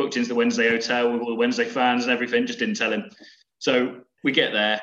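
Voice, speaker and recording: At a very fast pace, a man speaks in a monotone, flat intonation at a medium pitch. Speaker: football fan. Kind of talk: casual chat telling stories.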